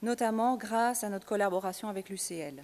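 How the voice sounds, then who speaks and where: Moderate pace and ordinary pitch variation. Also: woman. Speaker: NGO staff presenter. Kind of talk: conference presentation. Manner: hesitant, many fillers.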